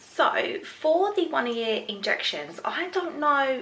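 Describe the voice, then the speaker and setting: Through audible room echo, a woman speaks at a fairly slow pace with very wide pitch swings. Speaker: parenting vlogger. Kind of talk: casual vlog talk to camera.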